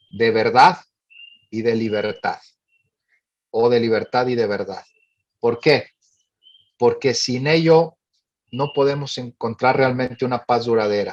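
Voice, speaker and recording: A man with a Monterrey accent speaks at a medium pitch and a fairly slow pace. His pitch varies in an ordinary way, and he takes long, frequent pauses. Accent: Monterrey (northern Mexican). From northern Mexico, Monterrey. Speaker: director of a family advocacy organization. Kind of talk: forum talk. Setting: panel forum.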